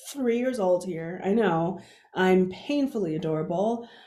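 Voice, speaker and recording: Audible room echo is present in the recording. The speaker is a woman. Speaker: keynote speaker. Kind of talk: conference keynote talk. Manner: halting, frequent sound repetitions.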